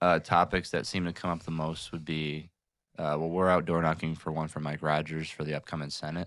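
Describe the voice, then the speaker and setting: A man with an Upper Midwest accent talks at a fairly quick pace in a very deep, low pitch. His intonation is monotone and flat, on a very clean recording with a silent background. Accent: Upper Midwest American. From Michigan, Jackson. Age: 20s. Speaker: local political group president. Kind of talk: casual interview. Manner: hesitant, many fillers.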